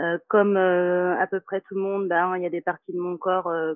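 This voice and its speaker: A woman with a normal speaking voice, at a fairly slow pace. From Martinique. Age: 30s. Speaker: yoga teacher. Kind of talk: casual chat.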